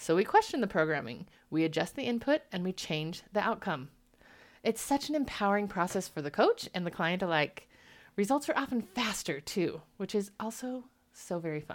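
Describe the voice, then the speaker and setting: A woman speaks at a moderate pace and a medium pitch, her warm, animated tone full of very wide pitch swings, on a very clean recording with a silent background. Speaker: marriage coach.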